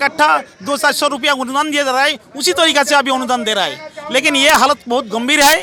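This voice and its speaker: Over noticeable background noise, a man with an extremely high pitch uses a raised, projected voice at a moderate pace with ordinary pitch variation. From West Bengal, India. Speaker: retired paramilitary personnel, protester. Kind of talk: street interview. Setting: outdoors at protest site.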